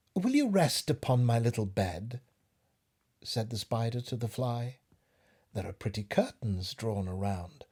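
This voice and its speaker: Recorded very cleanly against a silent background, the voice moves at a fairly slow pace with ordinary pitch variation, a dark, mellow tone, long and frequent pauses, and a somewhat breathy quality. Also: man, medium pitch for a man. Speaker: actor. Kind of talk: poetry reading.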